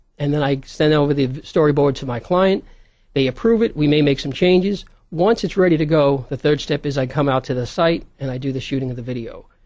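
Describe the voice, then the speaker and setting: Here a man speaks with a New York accent at a very fast pace. His pitch is fairly high, with ordinary variation. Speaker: video production business owner. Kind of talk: interview.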